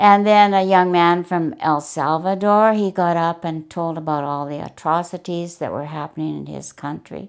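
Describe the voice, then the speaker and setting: Speaking at a moderate pace with a western Canadian accent, a woman with a fairly low pitch keeps her intonation fairly even and barely pauses, though her loudness swings a lot, on a very clean recording with a silent background. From Canada, Alberta. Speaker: retiree sharing life story. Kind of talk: testimony. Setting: on-camera interview.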